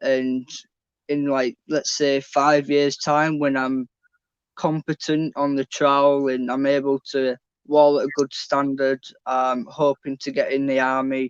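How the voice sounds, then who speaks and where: Fairly high-pitched man's voice in a Yorkshire accent, monotone and flat, with a dry, close sound and no echo. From northern England, Leeds. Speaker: trainee bricklayer, former student. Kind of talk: interview on live online event.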